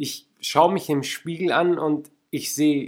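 The voice belongs to a man. It sits fairly high in pitch. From Lake Constance area, southern Germany. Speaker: podcast host and life coach. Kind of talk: motivational monologue. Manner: animated.

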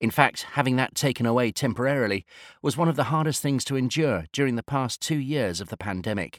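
In a British accent, a man speaks at a fairly quick pace with lively intonation and a medium pitch. The recording is very clean with a silent background, and the sound is dry and close with no echo. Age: 50s. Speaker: industry analyst. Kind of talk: scripted narration.

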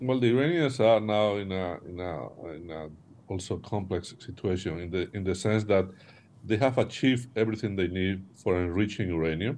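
Speaking in a Spanish accent, a man uses a fairly low pitch and a moderate pace. His pitch varies an ordinary amount while his loudness swings widely. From Spain. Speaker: former national security advisor, strategy consultant. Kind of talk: interview discussion. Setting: remote video call. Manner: halting, repeats words.

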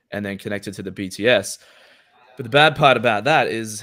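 This man has an Australian accent and a fairly low pitch. He speaks at a moderate pace. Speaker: podcast host. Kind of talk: casual chat. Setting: livestream.

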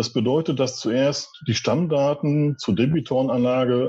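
A man's dark, mellow voice at medium pitch, fairly slow and fairly even in intonation, over a quiet background. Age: 40s. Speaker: department head at a wholesale company. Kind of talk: interview. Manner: formal.

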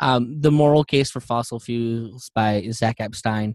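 A man with a plain, everyday voice speaks at a fairly slow pace and medium pitch, with fairly even intonation. The sound is dry and close with no echo, over a quiet background. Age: 30s. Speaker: environmental podcast host. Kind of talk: casual chat.

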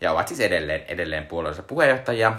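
A man's medium-pitched voice with very wide pitch swings, against noticeable background noise. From Finland, Joensuu. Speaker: podcast co-host. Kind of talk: casual chat. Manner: hesitant, many filler sounds.

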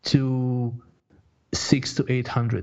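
Speech comes at a very slow pace. It carries a Croatian accent. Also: man. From Croatia (born in Bosnia). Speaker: online fitness coach. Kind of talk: interview. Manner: halting, many fillers and repetitions.

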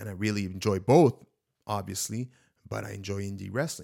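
This man has a plain, everyday voice pitched fairly low. His pace is fairly quick, and his intonation is fairly even. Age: 30s. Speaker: podcast host and aspiring wrestler. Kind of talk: solo podcast monologue. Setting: home studio. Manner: casual, filler-heavy.

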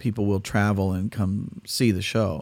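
In an American accent, a man talks at a very slow pace with a fairly low pitch and monotone, flat intonation. His tone is dark and mellow, and the recording is very clean with a silent background. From California. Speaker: tribute singer and musician. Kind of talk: casual interview.

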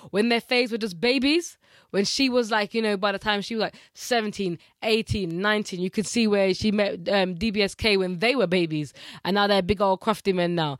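In a very clean recording with a silent background, a woman with a plain, everyday voice talks at a fairly quick pace, medium in pitch with ordinary pitch variation. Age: 30s. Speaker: podcast co-host. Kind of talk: casual chat.

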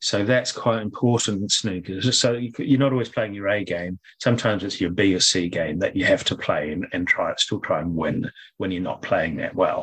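Speaking with a New Zealand accent, a man keeps a moderate pace with hardly any pauses. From New Zealand, Auckland North Shore. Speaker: former professional snooker player. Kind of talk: interview.

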